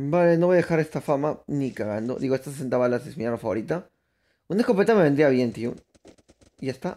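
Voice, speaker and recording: A man speaks at a very fast pace in a fairly high pitch, his tone dark and mellow and his intonation lively. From Peru. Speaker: gaming streamer. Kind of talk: live gameplay commentary. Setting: live stream. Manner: casual, animated.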